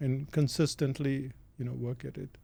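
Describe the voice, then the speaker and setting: A man's medium-pitched, somewhat breathy voice with a dark, mellow tone, at a moderate pace with fairly even intonation, on a very clean recording with a silent background. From India. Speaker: author and business consultant. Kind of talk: interview. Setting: studio.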